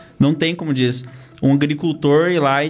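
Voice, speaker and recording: A man speaks at a fairly quick pace. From Brazil, Castro, Paraná (rural). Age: 20s. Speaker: regional development group president. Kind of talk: interview. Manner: hesitant, many fillers.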